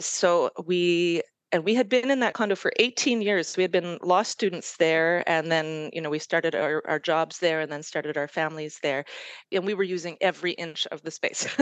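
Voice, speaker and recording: A normal speaking voice from a woman with a Canadian accent, fairly low in pitch, with ordinary pitch variation, a moderate pace and a quiet background. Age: 40s. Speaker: podcast listener. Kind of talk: casual chat.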